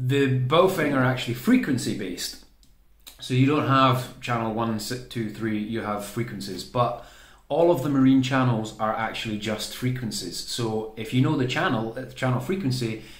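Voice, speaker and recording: There is audible room echo as a man speaks at a moderate pace in a somewhat breathy voice with ordinary pitch variation. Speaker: radio hobbyist. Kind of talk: tutorial. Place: home room. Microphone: phone near.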